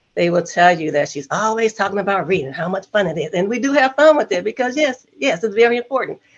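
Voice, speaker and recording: The woman's voice carries vocal fry. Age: 60s. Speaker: retired elementary school teacher and grandmother. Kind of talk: casual interview.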